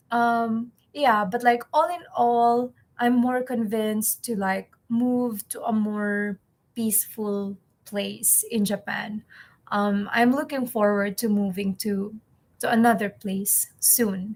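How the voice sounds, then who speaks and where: This woman's voice is somewhat breathy. She speaks at a very slow pace with fairly even intonation. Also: fairly high pitch for a woman. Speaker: English teacher and vlogger. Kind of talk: personal vlog. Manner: halting.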